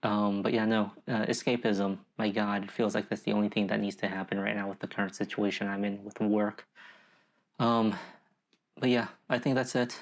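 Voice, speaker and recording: In a monotone, flat intonation, a man with a fairly low pitch speaks at a moderate pace on a very clean recording with a silent background. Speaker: video diarist. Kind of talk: personal video journal rant. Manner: halting, repeating words.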